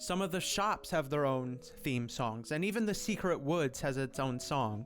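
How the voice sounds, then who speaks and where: A man talks at a fairly slow pace with lively intonation. Music plays in the background. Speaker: gaming video essayist. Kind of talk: video essay narration.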